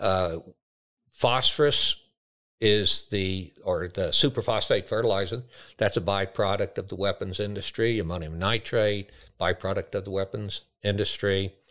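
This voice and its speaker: On a very clean recording with a silent background, a man with an American accent speaks at a moderate pace. His fairly low pitch carries a bright, sharp tone and fairly even intonation. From United States. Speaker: grazier and agriculture educator. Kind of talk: interview. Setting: on location at a farm field day.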